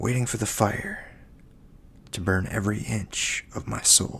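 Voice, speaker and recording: Every word is whispered. The pace is very slow. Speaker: poet and ASMR creator. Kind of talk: poetry reading. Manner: soft-spoken.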